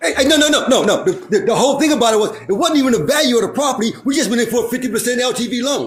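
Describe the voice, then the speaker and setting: The speech is loud and very fast, with hardly any pauses. Intonation is lively throughout. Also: man, extremely high pitch for a man. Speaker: real estate developer. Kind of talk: casual chat.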